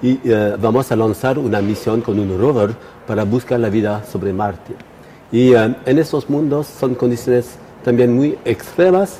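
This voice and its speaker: Over noticeable background noise, a man with a non-native accent speaks at a fairly slow pace, medium pitch and ordinary pitch variation. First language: not Spanish (speaking Spanish). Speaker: astrophysicist. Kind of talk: interview. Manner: halting, many fillers.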